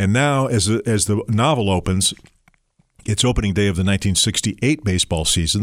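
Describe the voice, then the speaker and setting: An ordinary speaking voice from a man with an American accent, fairly low in pitch, with ordinary pitch variation and a fairly quick pace, on a very clean recording with a silent background. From Detroit, Michigan. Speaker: novelist. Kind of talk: interview.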